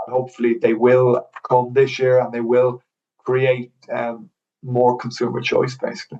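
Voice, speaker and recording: A man with an Irish accent talks at a fairly slow pace. His pitch is medium and his intonation monotone and flat. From Ireland. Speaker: mortgage broker. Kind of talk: casual chat. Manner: halting, many fillers and repeats.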